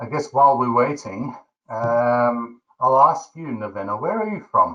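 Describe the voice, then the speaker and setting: A man with a South African accent, medium pitch, lively intonation, a fairly slow pace and big swings in loudness. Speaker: webinar host. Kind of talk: webinar presentation.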